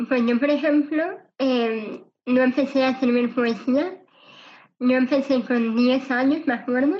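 High-pitched woman's voice at a fairly slow pace, with fairly even intonation and big swings in loudness. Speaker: cancer survivor and motivational speaker. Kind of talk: interview testimony.

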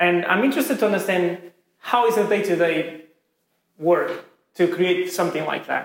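Moderate pace and ordinary pitch variation with a Portuguese accent, broken by long, frequent pauses. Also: man, high pitch for a man. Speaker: podcast host. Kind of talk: interview. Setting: office. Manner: halting.

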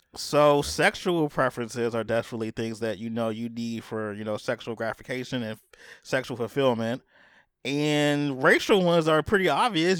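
Recorded very cleanly over a silent background, a man with an ordinary speaking voice talks at a moderate pace with lively intonation. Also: dry, close sound with no echo. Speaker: podcast host. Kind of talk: casual chat.

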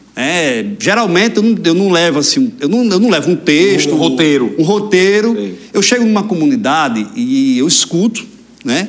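Over noticeable background noise, a man with a Rio Grande do Norte accent speaks at a high pitch with very wide pitch swings at a moderate pace. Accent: Brazilian northeastern (potiguar) Portuguese. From Brazil, Rio Grande do Norte (Mossoró area). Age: 20s. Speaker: politician, mayor-elect. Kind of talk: interview, casual chat. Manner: articulate public speaker.

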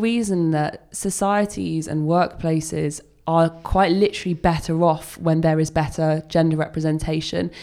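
The woman's pitch is fairly low, with a dark, mellow tone. She keeps a moderate pace and ordinary pitch variation. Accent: English. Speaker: head of projects at web agency. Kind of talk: casual interview chat.

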